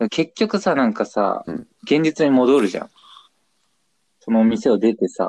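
A man at a medium pitch and moderate pace, with very wide pitch swings and long, frequent pauses, in a dry, close sound with no echo. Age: 20s. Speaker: podcast co-host. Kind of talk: casual chat. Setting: phone call.

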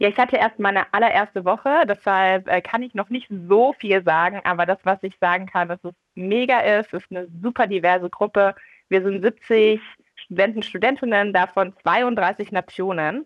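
A plain, everyday voice, with ordinary pitch variation, keeps to a moderate pace. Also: woman, medium pitch for a woman. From Munich, Bavaria. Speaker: entrepreneur and graduate student. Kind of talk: interview.

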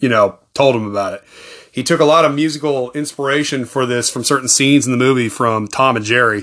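A man speaks at a fairly quick pace in a medium pitch, with ordinary pitch variation and a quiet background. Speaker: movie podcast host. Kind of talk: solo film review monologue. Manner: fast.

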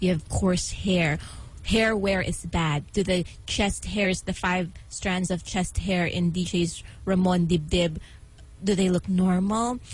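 At a very slow pace, a woman speaks in a medium-pitched, somewhat breathy voice. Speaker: radio DJ. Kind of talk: casual radio talk. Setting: radio studio. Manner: animated.

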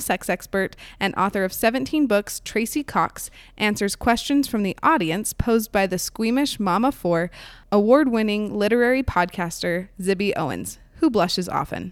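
An ordinary speaking voice from a woman, fairly high in pitch, with lively intonation at a moderate pace, on a very clean recording with a silent background. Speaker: podcast reviewer host. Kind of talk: podcast review with interview.

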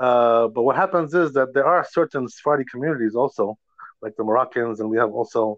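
A man with an ordinary speaking voice, medium pitch, ordinary pitch variation, a fairly quick pace and an American accent. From New York, raised from Georgia. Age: 50s. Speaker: rabbi. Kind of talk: religious lecture. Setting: phone call.

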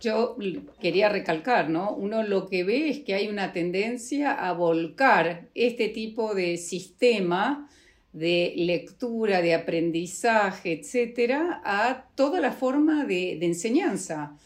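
Lively intonation shapes this woman's speech. She talks at a very slow pace. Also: medium pitch for a woman. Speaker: bioethics program director. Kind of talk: interview.

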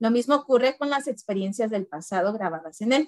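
Recorded with a dry, close sound and no echo, a woman uses an unremarkable speaking voice at a fairly high pitch, with ordinary pitch variation and a moderate pace. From Mexico, Guanajuato. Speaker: teacher and book club co-host. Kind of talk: casual chat about a book.

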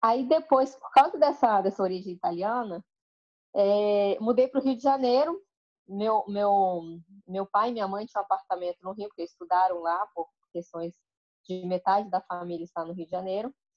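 Her voice is a plain, everyday voice at medium pitch, and the woman keeps a moderate pace with lively intonation and big swings in loudness. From Brazil, Espírito Santo (Colatina). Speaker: wine merchant. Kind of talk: interview.

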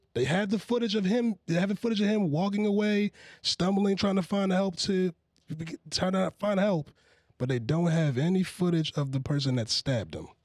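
A man with a high voice talks at moderate speed, his intonation lively. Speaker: podcast host. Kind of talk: casual banter podcast.

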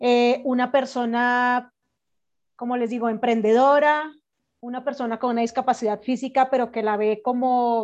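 Over a quiet background, a woman with a Colombian accent speaks at a moderate pace in a high-pitched, monotone, flat voice. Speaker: entrepreneur and podcaster. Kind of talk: casual chat.

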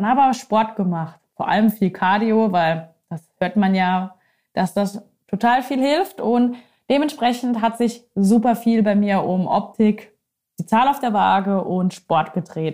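A woman speaking at a very slow pace, with ordinary pitch variation. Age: 30s. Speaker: nutrition and life coach, podcast host. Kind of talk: solo personal podcast monologue.

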